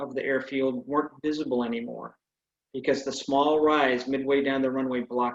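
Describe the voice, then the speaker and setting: A man's fairly high, monotone, flat voice at a fairly quick pace. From California, US. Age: 60s. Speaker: retired air force pilot and author. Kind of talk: speech; reading aloud.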